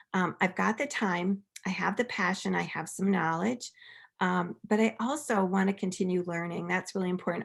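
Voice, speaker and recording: A normal speaking voice comes at a moderate pace with ordinary pitch variation, on a very clean recording with a silent background. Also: woman. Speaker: workshop presenter. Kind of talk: workshop presentation.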